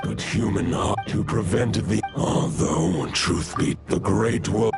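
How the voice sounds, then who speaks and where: Through loud background noise, a man does a cartoonish character voice at a fairly low pitch and a fairly slow pace. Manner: solemn, measured.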